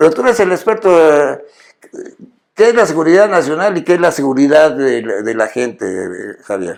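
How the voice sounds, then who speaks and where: At a moderate pace, a man with a fairly high pitch speaks in very wide pitch swings. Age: 80s+. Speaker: TV show host. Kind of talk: interview conversation. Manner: halting, many fillers and restarts.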